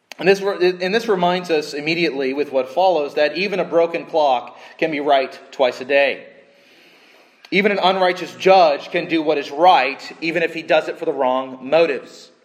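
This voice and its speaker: With noticeable background noise, a man speaks at a moderate pace in a fairly high pitch with ordinary pitch variation. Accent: American. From Southern California. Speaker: pastor. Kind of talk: sermon. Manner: halting, with frequent restarts.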